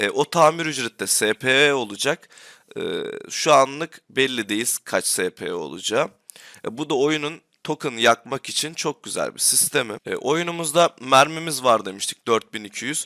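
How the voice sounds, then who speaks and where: This man's voice is fairly high, with a bright, sharp tone and ordinary pitch variation. The sound is dry and close, with no echo. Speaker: gaming YouTuber. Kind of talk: tutorial. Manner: hesitant, frequent filler sounds.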